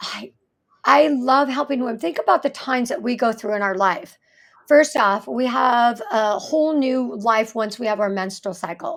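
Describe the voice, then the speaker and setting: A woman with an ordinary speaking voice, fairly high pitch, ordinary pitch variation and a moderate pace. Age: 60s. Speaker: fascia therapist. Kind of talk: podcast interview.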